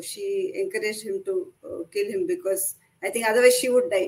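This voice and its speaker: Lively intonation marks a woman's speech, delivered at a moderate tempo. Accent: Kannada. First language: Kannada. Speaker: author. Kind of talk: casual interview.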